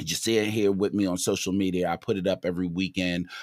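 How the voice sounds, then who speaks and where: Recorded very cleanly against a silent background, with a dry, close sound and no echo, a man talks at a fairly quick pace in a very deep, low pitch. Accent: Baltimore. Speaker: sports podcast host. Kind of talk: casual livestream rant. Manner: conversational, hesitant with fillers.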